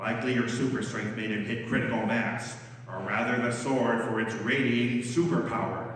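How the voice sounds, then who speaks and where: A woman uses a put-on character voice, very deep and low in pitch and resonant. She speaks at a moderate pace with strong echo. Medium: read story.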